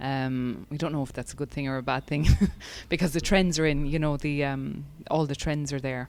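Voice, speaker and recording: A woman speaks in an Irish accent with a very deep, low pitch and fairly even intonation. The recording is very clean, with a silent background. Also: moderate pace. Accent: soft Irish accent, mellowed. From Ireland, West Cork. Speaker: breathwork and fitness specialist. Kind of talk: podcast interview.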